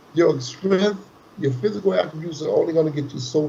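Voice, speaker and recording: Amid noticeable background noise, a man speaks in an animated tone at a fairly high pitch with lively intonation. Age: 60s. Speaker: boxing trainer. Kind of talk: casual chat.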